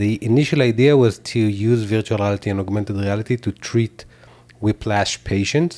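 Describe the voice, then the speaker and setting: A man with an Israeli accent and a fairly low pitch speaks at a moderate pace with fairly even intonation. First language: Hebrew. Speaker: tech company founder and CEO. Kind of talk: interview. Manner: hesitant, many fillers.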